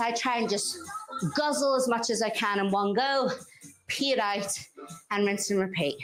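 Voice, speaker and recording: An energetic tone at very even loudness, with long, frequent pauses, audible room echo and music in the background. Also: woman. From Northern Ireland. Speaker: fitness instructor. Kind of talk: workout instruction. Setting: live-streamed workout. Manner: energetic, encouraging.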